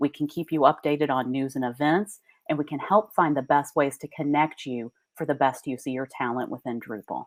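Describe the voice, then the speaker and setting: A woman with a slight Southern US accent at a fairly quick pace, on a very clean recording with a silent background and a dry, close sound with no echo. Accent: Southern US accent, mild. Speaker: association executive giving keynote. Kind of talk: conference keynote speech.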